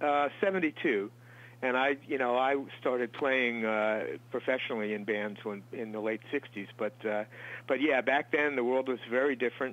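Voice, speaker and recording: In an unremarkable speaking voice, a man with an American accent talks at a moderate pace with a medium pitch and ordinary pitch variation. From Long Island, New York. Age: 60s. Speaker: musician. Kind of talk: interview. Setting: studio.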